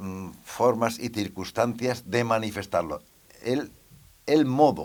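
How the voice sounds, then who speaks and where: A man's medium-pitched voice at a very slow pace. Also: ordinary pitch variation. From Cuéllar, Segovia, Castile, Spain. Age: 80s+. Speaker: passer-by interviewee. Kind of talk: casual interview. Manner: halting, with fillers.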